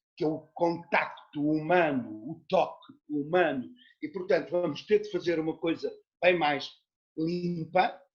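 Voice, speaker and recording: A man talks at a very slow pace with a high pitch. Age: 60s. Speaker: actor and theatre teacher. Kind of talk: interview conversation. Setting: video call.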